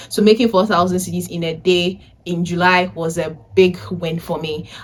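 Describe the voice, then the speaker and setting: Speaking at a moderate pace, a woman with a fairly low voice sounds animated over noticeable background noise. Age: 20s. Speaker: vlogger and data analysis tutor. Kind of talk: casual vlog talk. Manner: loud.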